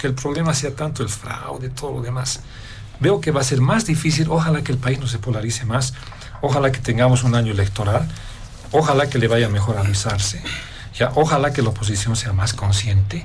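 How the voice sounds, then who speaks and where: A man speaks at a moderate pace in a medium pitch. Noticeable background noise and audible room echo fill the recording. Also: ordinary pitch variation. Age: 60s. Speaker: political analyst. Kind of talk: political panel debate.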